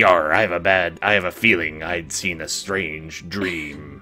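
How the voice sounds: A raspy, put-on character voice from a man, very deep and low, at a fairly slow pace over clear background music.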